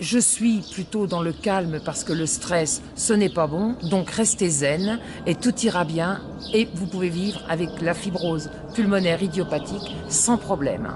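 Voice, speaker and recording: Noticeable background noise runs under a woman's voice. She speaks at a fairly slow pace, fairly low in pitch with ordinary pitch variation. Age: 60s. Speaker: patient. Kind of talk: testimony. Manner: halting.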